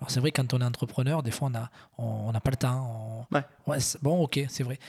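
A man's somewhat breathy voice at a medium pitch, moderate pace, with a dry, close sound and no echo. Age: 40s. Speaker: entrepreneur. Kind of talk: casual interview.

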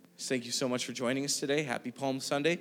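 A man's medium-pitched voice is heard with music in the background. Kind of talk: sermon. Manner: earnest, pastoral, urging the congregation gently to pray and respond.

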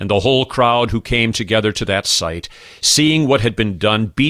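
A man speaks at a fairly low pitch in a solemn tone that is also bright and sharp. The recording is very clean with a silent background and a dry, close sound with no echo. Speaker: pastor. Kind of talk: guided prayer meditation with scripture reading, liturgical prayer. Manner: solemn, measured, formal; slow, reverent.

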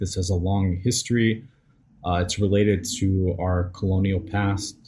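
With an American accent, a man speaks in a somewhat breathy voice with a dark, mellow tone. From US South. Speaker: podcast host. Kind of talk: live stream discussion. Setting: live stream.

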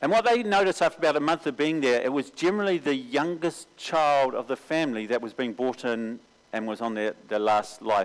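A man with a New Zealand accent talks at a fairly quick pace with hardly any pauses and lively intonation. The recording is very clean, with a silent background. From New Zealand, Auckland. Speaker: mission agency recruiter. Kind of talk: sermon.

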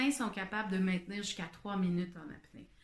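A woman in a Quebec accent talks at a moderate pace over noticeable background noise. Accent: Québécois French. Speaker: podcaster. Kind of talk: casual monologue. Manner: halting.

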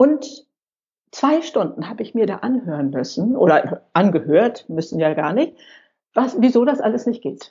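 The voice carries vocal fry and very wide pitch swings. It moves at a moderate pace. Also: woman, fairly high pitch for a woman. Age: 60s. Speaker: senior blogger and YouTuber. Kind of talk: interview.

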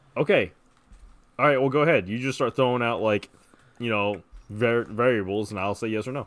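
Speaking at a fairly quick pace with long, frequent pauses, a man uses a medium pitch with ordinary pitch variation. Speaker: podcast co-host. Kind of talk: casual comedic chat. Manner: joking, sarcastic.

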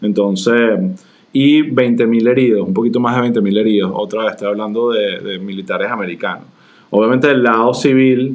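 The man speaks in a normal speaking voice at a medium pitch and moderate pace, with ordinary pitch variation. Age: 40s. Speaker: podcast co-host. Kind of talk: casual conversational discussion.

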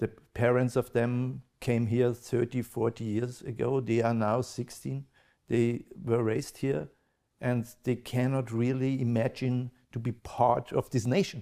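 A man with an Austrian accent, fairly slow, with fairly even intonation and very even loudness. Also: medium pitch for a man. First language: German. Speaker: podcast host and event moderator. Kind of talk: interview. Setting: live event with audience. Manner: halting.

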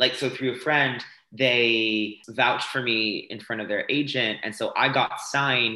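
A man with an American accent, a bright, sharp tone, medium pitch and fairly even intonation. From France. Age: 20s. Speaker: dancer and fitness instructor. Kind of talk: casual interview.

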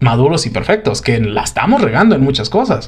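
A man talks with very wide pitch swings. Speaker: podcast host. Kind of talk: casual chat.

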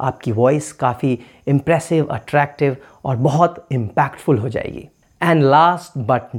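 A man speaks in a normal speaking voice on a very clean recording with a silent background. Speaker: podcaster. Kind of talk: tutorial.

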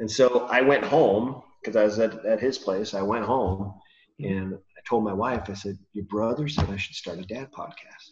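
A man with an American accent, fairly low in pitch, somewhat breathy, at a moderate pace, with ordinary pitch variation and big swings in loudness. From California. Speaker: podcast host and father. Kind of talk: casual interview chat. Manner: hesitant, many fillers.

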